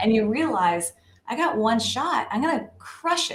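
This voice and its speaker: In an American accent, a woman talks at a fairly high pitch with an enthusiastic tone. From American South. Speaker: marketing director. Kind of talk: interview answer. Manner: casual, enthusiastic.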